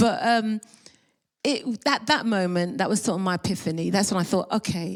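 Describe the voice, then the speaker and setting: Her pitch is medium and varies in an ordinary way. The woman keeps a moderate pace. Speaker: reggae singer. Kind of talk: panel discussion. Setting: stage with audience. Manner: gentle, soft-spoken.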